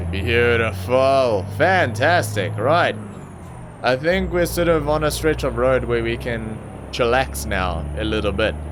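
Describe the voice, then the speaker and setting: Through noticeable background noise and audible room echo, a man speaks at a fairly slow pace with very wide pitch swings. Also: medium pitch for a man. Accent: South African. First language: Afrikaans. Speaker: gaming YouTuber. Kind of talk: gameplay commentary. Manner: casual, hesitant with many fillers.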